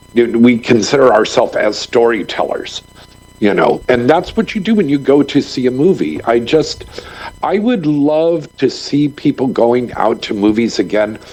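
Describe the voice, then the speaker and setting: Over noticeable background noise, a man speaks at medium pitch and a moderate pace with lively intonation. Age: 60s. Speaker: filmmaker and former adult film performer. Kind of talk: podcast interview. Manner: energetic.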